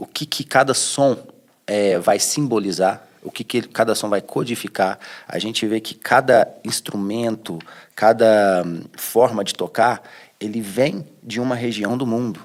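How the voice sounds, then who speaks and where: Man with a plain, everyday voice, medium pitch, ordinary pitch variation and a fairly slow pace. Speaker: cultural heritage scholar. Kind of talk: interview answer.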